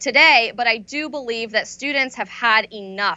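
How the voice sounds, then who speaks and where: A woman speaks with an American accent at a fairly high pitch and ordinary pitch variation. Hers is an unremarkable speaking voice. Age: 20s. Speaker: conservative activist and author. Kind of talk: interview.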